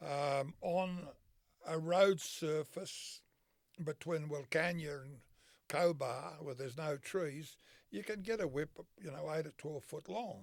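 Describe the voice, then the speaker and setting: A man with an Australian accent speaks at a very slow pace. His pitch sits fairly high for a man. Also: ordinary pitch variation. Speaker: horseman and whip maker. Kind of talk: interview answer. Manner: casual, folksy.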